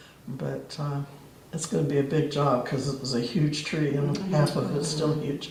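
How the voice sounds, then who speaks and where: A man speaks at a moderate pace with a fairly high pitch and monotone, flat intonation. Audible room echo and noticeable background noise are present. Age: 80s+. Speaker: congregation member. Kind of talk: casual chat.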